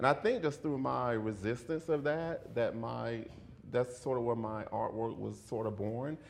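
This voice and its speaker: With an American accent, a man speaks at a medium pitch and fairly slow pace, with ordinary pitch variation and audible room echo. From US South, rural central Florida. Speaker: video and performance artist. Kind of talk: lecture. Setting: lecture hall with audience. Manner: halting, repeats words.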